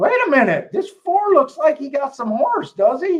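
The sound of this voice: This is a put-on character voice, high-pitched and squeaky. It moves at a moderate pace.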